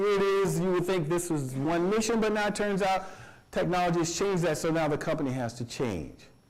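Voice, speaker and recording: Amid noticeable background noise and audible room echo, a man with a high-pitched voice speaks at a fairly quick pace, animated in tone and lively in intonation. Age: 60s. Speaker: college professor. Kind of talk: lecture. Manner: halting.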